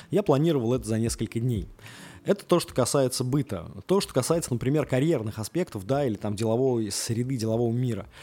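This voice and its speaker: A man's medium-pitched voice with a dark, mellow tone, lively intonation and a very fast pace. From Russia. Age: 30s. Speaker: podcast host. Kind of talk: casual monologue. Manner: halting, with many filler sounds.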